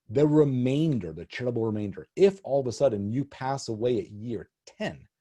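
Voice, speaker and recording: A man's dark, mellow voice at medium pitch, somewhat breathy, with lively intonation and big swings in loudness, dry and close with no echo against a quiet background. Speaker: estate planning attorney. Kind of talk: webinar presentation. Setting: online webinar. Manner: fast.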